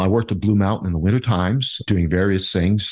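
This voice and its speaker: In an Ontario accent, a man with a very deep, low pitch speaks at a very fast pace with fairly even intonation, recorded with a dry, close sound with no echo against a quiet background. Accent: Canadian (Ontario). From Ontario, Canada (Niagara Falls). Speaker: mayoral candidate and local business owner. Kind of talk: interview.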